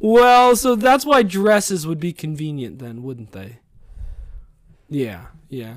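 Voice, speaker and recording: Very slow, with long, frequent pauses, from a man whose voice makes very wide pitch swings and big swings in loudness. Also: fairly high pitch for a man. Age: 30s. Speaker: podcast host, father. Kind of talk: casual chat with his child.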